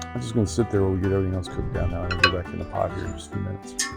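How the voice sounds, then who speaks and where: A man's very deep, low voice in a relaxed tone, with music in the background. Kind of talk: casual cooking tutorial talk. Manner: relaxed, folksy.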